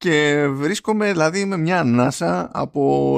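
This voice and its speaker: Against a quiet background, a man talks at a fairly high pitch. His pitch swings very widely. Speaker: podcast co-host. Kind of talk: casual chat.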